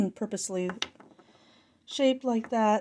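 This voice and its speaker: A woman's dark, mellow tone at a moderate pace. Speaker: hobby artifact collector. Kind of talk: casual show-and-tell. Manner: halting, many false starts.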